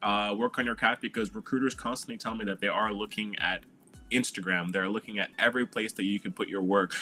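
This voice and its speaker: Music plays in the background. A man with a fairly low pitch talks at a very fast pace. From Quebec, Montreal. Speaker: animator and illustrator. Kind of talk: panel discussion.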